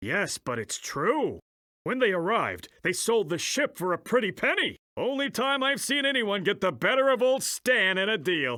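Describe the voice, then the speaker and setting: A man speaks in a put-on character voice, pitched high for a man, at a moderate pace. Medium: video game. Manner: jokey, laughing.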